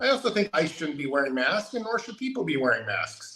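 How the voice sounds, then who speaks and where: A man with an American accent speaks at a fairly quick pace, his high voice swinging very widely in pitch. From California. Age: 50s. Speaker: political candidate. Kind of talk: interview.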